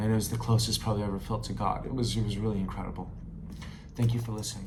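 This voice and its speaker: Talking very fast with flat, monotone intonation, a man with a fairly low pitch is heard against audible room echo. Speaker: travel vlogger. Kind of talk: personal storytelling. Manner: halting.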